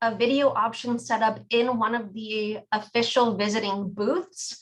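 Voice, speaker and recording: A woman uses a plain, everyday voice at a fairly high pitch. She goes at a fairly slow pace with fairly even intonation. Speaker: sheriff's department program staff. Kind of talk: presentation Q&A.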